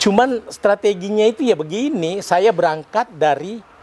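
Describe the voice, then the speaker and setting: A man talks at a moderate pace in a high voice with lively intonation. Noticeable background noise runs under the recording. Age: 70s. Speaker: retired stock exchange executive and investor. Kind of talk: interview.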